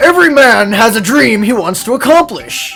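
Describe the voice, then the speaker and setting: A gruff put-on character voice at a fairly high pitch, with clear music in the background. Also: moderate pace. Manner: stern.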